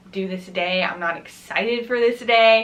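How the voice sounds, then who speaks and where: With an American accent, a woman speaks at a fairly high pitch. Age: 20s. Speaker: college student. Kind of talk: casual talk to camera. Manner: upbeat, friendly.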